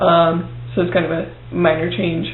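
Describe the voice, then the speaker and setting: A man speaks quietly. Noticeable background noise and audible room echo surround his voice. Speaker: video blogger. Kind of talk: video diary. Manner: hesitant, many fillers.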